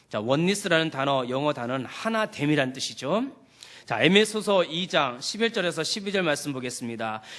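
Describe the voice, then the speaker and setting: Over noticeable background noise, a man with a fairly high pitch talks at a moderate pace, his voice swinging very widely in pitch. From South Korea, Chungcheong. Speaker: pastor. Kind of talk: sermon. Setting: church.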